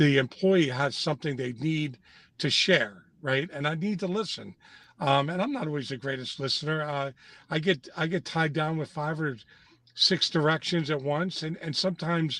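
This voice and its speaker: A man with a plain, everyday voice speaks at a moderate pace and a fairly high pitch with ordinary pitch variation, in a very clean recording with a silent background. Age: 60s. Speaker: nonprofit CEO. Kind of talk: interview.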